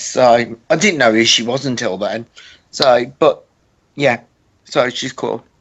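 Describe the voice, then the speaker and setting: Speaking fairly slowly, a man with a British accent uses a medium pitch. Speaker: author. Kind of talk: casual chat.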